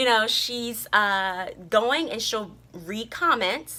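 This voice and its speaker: A woman's very slow delivery with a fairly high pitch and a bright, sharp tone. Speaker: vlogger. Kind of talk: casual vlog monologue.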